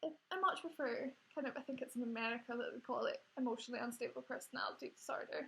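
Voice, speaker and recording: Noticeable background noise sits behind a woman with a Scottish accent. She speaks at a very fast pace. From Scotland. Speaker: vlogger. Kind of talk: personal testimony. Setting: home recording on laptop. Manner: hesitant, many fillers. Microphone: laptop.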